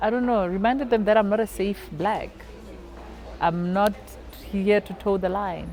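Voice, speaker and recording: With music in the background, a woman speaks with long, frequent pauses. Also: medium pitch for a woman, fairly even intonation, moderate pace. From South Africa, Free State and North West. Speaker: stand-up comedian, radio host. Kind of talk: interview answer.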